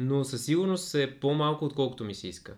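With a normal speaking voice, a man talks at a moderate pace using ordinary pitch variation. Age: 30s. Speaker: podcast guest. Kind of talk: casual chat.

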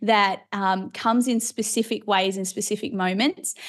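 Fairly even intonation at a moderate pace. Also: woman, quiet background. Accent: Australian. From Australia. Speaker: preacher and Bible teacher. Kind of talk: interview conversation. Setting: video call.

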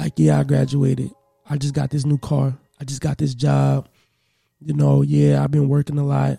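The man's moderate-paced speech has a dry, close sound with no echo. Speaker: podcast host. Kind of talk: casual chat. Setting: studio. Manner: animated.

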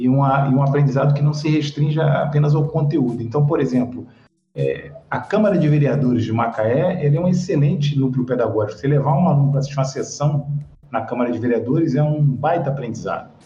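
A fairly high-pitched man at a fairly quick pace with ordinary pitch variation, with audible room echo and noticeable background noise. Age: 50s. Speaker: sociology teacher. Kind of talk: interview.

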